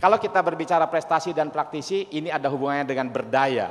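The speaker is a man. His pace is fairly quick. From Indonesia, farming family. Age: 40s. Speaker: entrepreneur and university founder. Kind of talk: presentation with slides. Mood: cheerful, smiling. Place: hall. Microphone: handheld.

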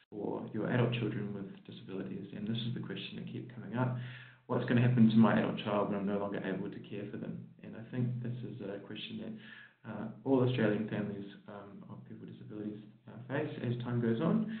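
Over music in the background, a man talks at a very fast pace with big swings in loudness and audible room echo. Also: fairly low pitch for a man, ordinary pitch variation. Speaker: presenter. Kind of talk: conference presentation. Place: hall.

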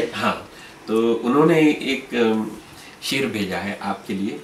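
A man speaks with audible room echo. Light background noise is present. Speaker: interviewer. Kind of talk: interview. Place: home room. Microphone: camera far.

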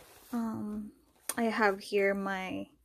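A woman with a non-native accent, flat and monotone, at a very slow pace over a quiet background. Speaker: fashion YouTuber. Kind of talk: product review. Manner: casual, hesitant with fillers. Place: home room. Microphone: phone near.

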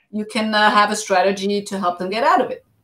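The voice belongs to a woman. She speaks fairly quickly. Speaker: show host. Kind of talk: casual interview chat. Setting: video call. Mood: engaged, reflective. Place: home room. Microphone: video call.

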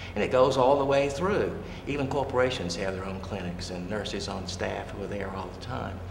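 Over noticeable background noise, a man with a fairly low pitch speaks at a fairly quick pace with big swings in loudness. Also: ordinary pitch variation. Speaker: professor emeritus of theatre, interviewer. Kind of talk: interviewer questions. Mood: warm, earnest. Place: studio.

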